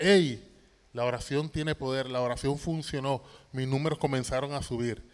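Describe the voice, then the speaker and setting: A man talks at a moderate pace in a fairly high pitch. He has a plain, everyday voice. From Puerto Rico, Toa Baja. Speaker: singer and cancer survivor. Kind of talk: testimony. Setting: church stage with audience.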